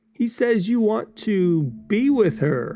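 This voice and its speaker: A man's put-on character voice, high-pitched, with lively intonation and a very slow pace. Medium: read story. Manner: smooth, sinister.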